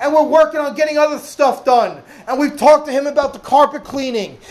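Loud shouting at a moderate pace over noticeable background noise. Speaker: pastor. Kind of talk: sermon. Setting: church without a microphone. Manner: loud, yelling. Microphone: no microphone, speaking unamplified.

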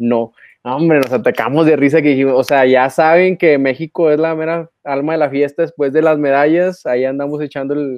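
With a Mexican accent, a man speaks at a moderate pace in a fairly high pitch, his intonation fairly even. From Mexico. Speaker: archery podcast co-host. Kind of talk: casual chat.

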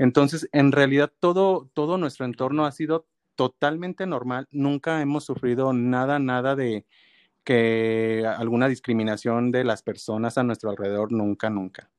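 Speaking in a Mexican accent, a man at medium pitch keeps a moderate pace and ordinary pitch variation, the sound dry and close with no echo over a quiet background. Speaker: adoptive parent. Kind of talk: interview.

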